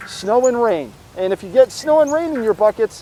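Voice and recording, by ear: A man with a dark, mellow tone, ordinary pitch variation and a fairly quick pace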